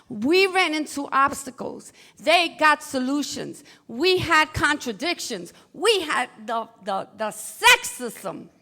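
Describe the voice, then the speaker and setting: A woman with an American accent speaks in a raised, projected voice at a very slow pace. Her high pitch moves in very wide swings. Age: 60s. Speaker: former activist, panelist. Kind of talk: panel discussion.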